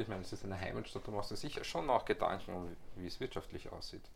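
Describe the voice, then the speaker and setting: Speaking at a very fast pace with hardly any pauses, a man uses ordinary pitch variation. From Austria, Vienna. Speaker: podcast host. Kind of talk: casual interview. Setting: in person.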